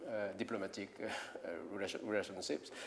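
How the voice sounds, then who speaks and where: A man talks at a moderate pace. He has a French accent. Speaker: philosopher and scholar. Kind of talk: lecture. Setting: conference stage with audience. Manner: halting, many fillers and repetitions.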